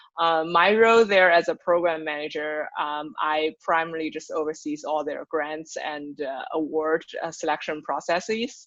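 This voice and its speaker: A woman with a Chinese accent talks at a moderate pace with hardly any pauses, her voice very deep and low with ordinary pitch variation. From China. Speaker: nonprofit program manager. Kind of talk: podcast interview.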